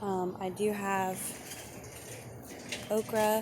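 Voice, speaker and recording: Heard with audible room echo, a woman talks in a medium pitch with fairly even intonation. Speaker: home gardener vlogger. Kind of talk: casual garden tour narration. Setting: outdoors in urban garden. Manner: casual with frequent fillers.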